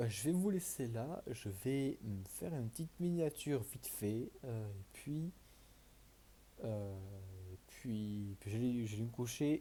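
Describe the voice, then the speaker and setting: Soft-spoken and somewhat breathy, the voice has a dark, mellow tone and ordinary pitch variation. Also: man. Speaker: gaming youtuber. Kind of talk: gameplay commentary. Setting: home recording at night. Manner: halting.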